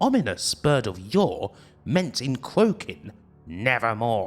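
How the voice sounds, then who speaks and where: Music plays in the background as a man speaks very slowly. His pitch swings very widely. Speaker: retrogaming YouTuber reading a poem for a show. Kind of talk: dramatic poetry reading. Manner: dramatic, theatrical, spooky.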